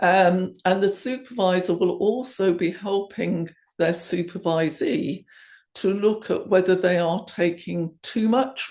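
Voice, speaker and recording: A woman with an English accent, fairly low in pitch, with ordinary pitch variation and a fairly slow pace, against a quiet background. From England. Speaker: coaching supervisor. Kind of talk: conference presentation.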